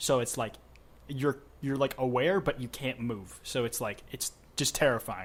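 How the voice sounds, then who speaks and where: This is an ordinary speaking voice from a man at a medium pitch. He talks at a moderate pace with ordinary pitch variation. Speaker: podcast host. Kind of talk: casual chat.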